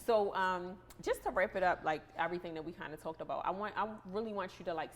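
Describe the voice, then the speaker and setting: At a moderate pace, a woman talks with a strong Baltimore accent and ordinary pitch variation. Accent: thick Baltimore. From Baltimore, Maryland. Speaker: podcast host. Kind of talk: casual interview chat.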